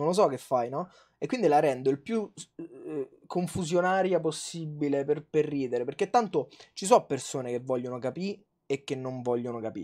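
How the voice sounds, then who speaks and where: A man with a fairly high pitch and a dark, mellow tone speaks at a moderate pace. His intonation is lively, and the background is quiet. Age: 20s. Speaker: food youtuber. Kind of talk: casual chat. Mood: relaxed, reflective storytelling. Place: home room. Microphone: lapel.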